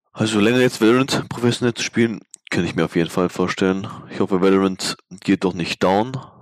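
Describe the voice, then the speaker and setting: In a normal speaking voice with ordinary pitch variation, the speaker talks at a fairly quick pace, and the sound is dry and close with no echo. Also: man, fairly low pitch for a man. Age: 20s. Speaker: esports player. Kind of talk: casual interview.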